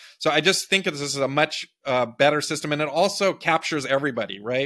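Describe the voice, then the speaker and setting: On a very clean recording with a silent background, a man with a Californian accent speaks at a fairly quick pace and fairly high pitch. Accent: Californian American. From US West Coast (Big Sur, California). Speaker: presidential candidate, tech entrepreneur. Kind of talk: interview.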